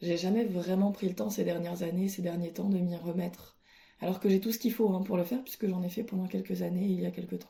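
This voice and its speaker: A woman talks very fast at a medium pitch, her tone dark and mellow and somewhat breathy. Her intonation stays fairly even. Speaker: podcaster. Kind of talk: casual monologue. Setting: at home alone. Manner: hesitant.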